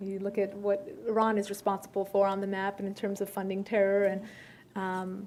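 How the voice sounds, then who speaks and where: A woman's medium-pitched voice at a fairly quick pace. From United States, Iranian-American family. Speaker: journalist and TV contributor on foreign affairs. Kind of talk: Q&A after a talk. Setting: luncheon event with audience. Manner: many fillers and restarts.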